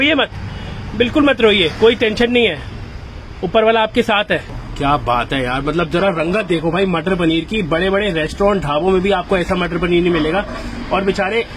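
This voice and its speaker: Over light background noise, a man with a high-pitched voice speaks at a moderate pace. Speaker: food vlogger. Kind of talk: casual talk to camera. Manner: excited. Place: street. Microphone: phone near.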